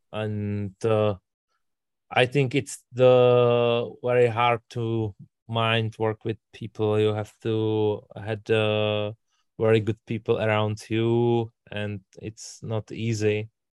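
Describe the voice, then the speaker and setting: A man speaks at a very slow pace with medium pitch. His intonation is monotone and flat. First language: not English. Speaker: language student. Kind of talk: language class discussion. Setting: video call.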